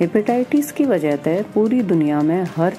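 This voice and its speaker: With music in the background, a woman speaks at a fairly low pitch with lively intonation. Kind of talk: health awareness podcast.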